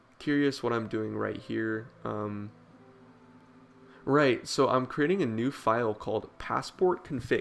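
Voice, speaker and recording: A man with an unremarkable speaking voice, medium pitch and ordinary pitch variation at a fairly slow pace, in a very clean recording with a silent background. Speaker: programming tutorial maker. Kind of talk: tutorial. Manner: casual with filler words.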